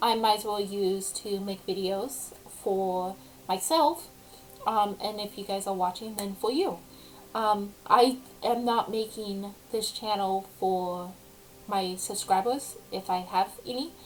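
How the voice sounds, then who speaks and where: A woman speaks at a very slow pace with a medium pitch and ordinary pitch variation. Noticeable background noise runs behind her. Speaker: vlogger. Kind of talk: casual chat. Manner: hesitant, many ums.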